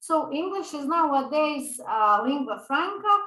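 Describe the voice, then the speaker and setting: A woman with a Serbian accent projects a raised voice in a bright, sharp tone. Her intonation is lively and her pace fairly slow. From Balkans (Serbian speaker). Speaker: English teacher. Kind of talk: lecture. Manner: hesitant with fillers.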